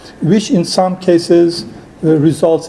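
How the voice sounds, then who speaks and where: Speaking in a strong Persian accent at a fairly slow pace, a man with a fairly high pitch is heard over noticeable background noise. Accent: thick Persian accent in English. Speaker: human rights activist and filmmaker. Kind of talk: conference talk. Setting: conference hall with audience. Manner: halting, many fillers.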